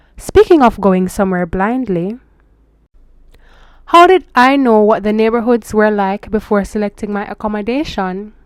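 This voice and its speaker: A moderate pace and ordinary pitch variation. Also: woman, fairly high pitch for a woman. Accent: Jamaican. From Jamaica. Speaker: international student vlogger. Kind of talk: casual vlog advice. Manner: switches into Jamaican Patois phrases.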